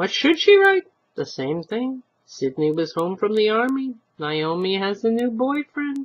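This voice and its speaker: In a put-on character voice, a female-sounding speaker goes at a moderate pace with a fairly high pitch and very wide pitch swings. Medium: read story.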